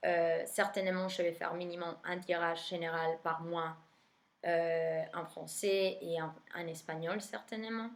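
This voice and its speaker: This woman speaks with an Argentine accent. Her pace is very slow. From Argentina. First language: Spanish (speaking French). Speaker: tarot reader. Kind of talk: casual monologue to viewers. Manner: hesitant, many fillers.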